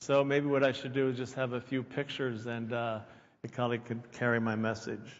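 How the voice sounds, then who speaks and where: Speaking at a moderate pace, a man has a plain, everyday voice and fairly even intonation. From Pennsylvania, near Philadelphia. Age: 60s. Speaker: keynote speaker. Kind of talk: conference talk.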